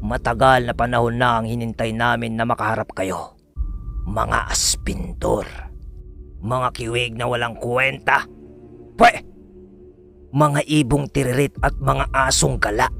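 A man puts on a raspy, menacing character voice at a medium pitch, speaking fairly slowly. Long pauses come often, and music plays clearly behind him. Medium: read story. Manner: mocking, contemptuous, menacing.

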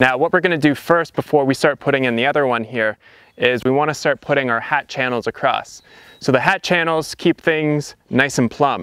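The speech moves at a moderate pace with ordinary pitch variation. The sound is dry with no echo, and the background is quiet. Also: man. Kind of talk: tutorial. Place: open country.

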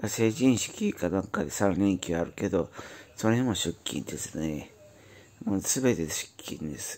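This man speaks at a fairly slow pace with lively intonation. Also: fairly low pitch for a man. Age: 40s. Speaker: YouTuber, factory worker. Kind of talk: casual monologue vlog. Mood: weary, cynical. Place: home room. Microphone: phone near.

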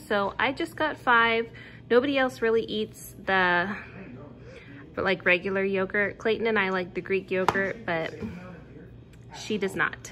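A woman with a bright, sharp tone and lively intonation, at a moderate pace with long, frequent pauses, over noticeable background noise. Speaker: home vlogger. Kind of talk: casual vlog chat. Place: home room. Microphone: phone near.

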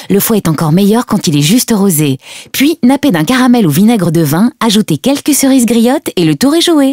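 In a dry, close sound with no echo, a woman speaks with a fairly high pitch. Her pitch swings very widely while her loudness stays very even. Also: moderate pace. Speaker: voice actor. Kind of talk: TV commercial read.

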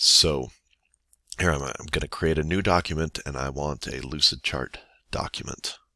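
A man's very deep, low voice with vocal fry and a bright, sharp tone, fairly even intonation and a moderate pace, in a dry sound with no echo against a quiet background. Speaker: teacher. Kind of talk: software tutorial screencast. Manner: quiet, monotone. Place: home room.

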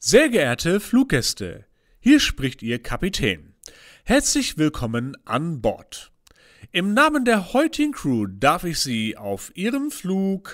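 A man's put-on character voice, resonant and high-pitched, at a fairly slow pace. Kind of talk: in-flight PA announcement. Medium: audio drama.

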